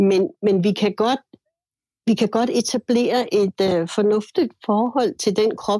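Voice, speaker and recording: In a dry, close recording with no echo, a woman speaks at a fairly slow pace in a dark, mellow tone of medium pitch, her intonation lively. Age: 60s. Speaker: musician. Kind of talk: casual chat.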